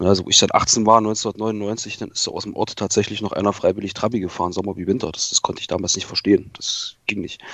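A man talks at a very fast pace. There are hardly any pauses. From Saxony-Anhalt, eastern Germany (Eisleben). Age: 30s. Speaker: car enthusiast, automotive industry employee. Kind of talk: casual chat.

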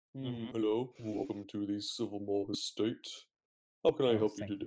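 A man's put-on character voice at medium pitch, fairly even in intonation, at a moderate pace. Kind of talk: formal, polite. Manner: welcoming, courteous.

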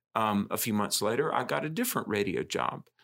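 A man talks at a fairly quick pace with an American accent. The recording is very clean, with a silent background. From US South. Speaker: podcast host. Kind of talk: casual chat.

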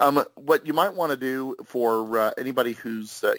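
A man with a Midwestern US accent at a fairly slow pace, dry, close sound with no echo, very clean recording and silent background. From Kansas. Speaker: author and greeting card writer. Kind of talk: casual interview chat.

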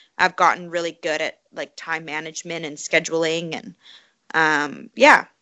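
In an ordinary speaking voice, a woman with a Canadian accent talks at a fairly slow pace and a fairly low pitch. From Canada, Calgary. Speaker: professional obstacle course racer and running coach. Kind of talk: interview conversation.

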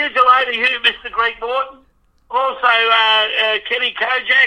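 This man speaks at a moderate pace. His pitch is extremely high. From Melbourne, Australia. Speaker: radio show caller, fan. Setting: phone. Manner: enthusiastic.

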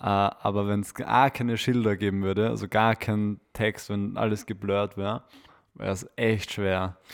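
A man with a Viennese accent speaks fairly slowly at a fairly low pitch, his intonation monotone and flat. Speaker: podcast co-host. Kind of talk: casual chat.

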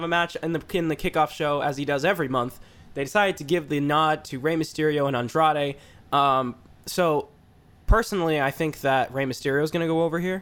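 A man's normal speaking voice, fairly high, with ordinary pitch variation and a fairly quick pace. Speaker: wrestling podcast co-host. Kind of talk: casual banter about wrestling. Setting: studio with several hosts.

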